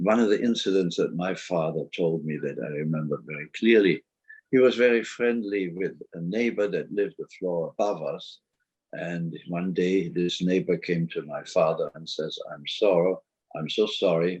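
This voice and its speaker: A man with a German accent speaks at a moderate pace in a very deep, low pitch, his pitch varying in an ordinary way. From Germany, Cologne. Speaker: Holocaust survivor. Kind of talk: oral history interview.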